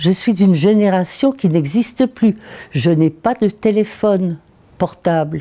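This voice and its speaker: At a fairly slow pace, a woman of medium pitch speaks with a dark, mellow tone and lively intonation. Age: 90s. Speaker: elderly woman recalling first vote. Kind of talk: interview testimony.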